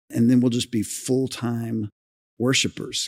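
A man speaks at a moderate pace in a medium pitch with an unremarkable speaking voice. The sound is dry and close, with no echo. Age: 50s. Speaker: senior pastor. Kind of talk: live podcast discussion before a congregation. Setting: church sanctuary with audience.

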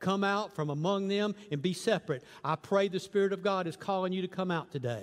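Ordinary pitch variation marks this fairly quick speech. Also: man, high pitch for a man. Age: 60s. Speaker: guest preacher. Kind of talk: sermon. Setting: church.

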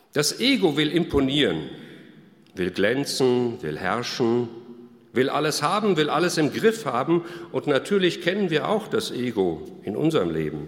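At a fairly slow pace, a man with a fairly high voice makes very wide pitch swings amid audible room echo. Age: 60s. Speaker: pastor. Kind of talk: sermon.

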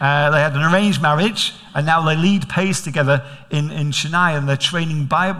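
Here a man with a Manchester accent talks at a fairly quick pace and a fairly high pitch, using ordinary pitch variation. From Manchester, England.

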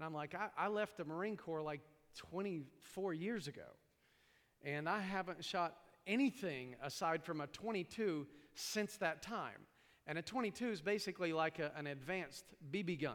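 An American-accented man talks at a fairly slow pace in a high pitch, with ordinary pitch variation. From East Tennessee. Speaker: pastor. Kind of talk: sermon. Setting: church.

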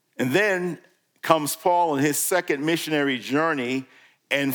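A very clean recording with a silent background captures a man with an American accent at a fairly high pitch with ordinary pitch variation. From New York. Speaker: guest preacher. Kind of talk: sermon.

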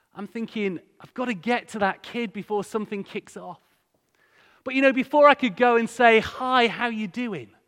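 The speaker has an East Yorkshire accent, a moderate pace and ordinary pitch variation. The recording is very clean, with a silent background. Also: man, extremely high pitch for a man. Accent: East Yorkshire (Hull) English. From northern England, Hull. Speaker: charity director, guest speaker. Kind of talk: sermon. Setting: church with congregation.

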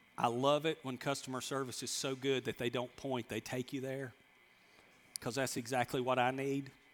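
With a Southern US accent, the speaker keeps a monotone, flat intonation at a moderate pace on a very clean recording with a silent background. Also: man, medium pitch for a man. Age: 50s. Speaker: pastor. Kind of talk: sermon. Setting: church with congregation.

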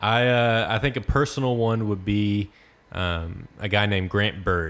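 A man speaks at a fairly slow pace with a Texan accent. His pitch is fairly low and his intonation fairly even. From Texas, small town near Corsicana. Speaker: student pastor. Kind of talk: casual interview.

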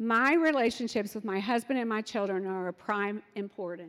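A woman in an ordinary speaking voice, her pitch medium, her pace moderate and her pitch variation ordinary. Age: 50s. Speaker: pastor's wife and parenting speaker. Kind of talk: sermon.

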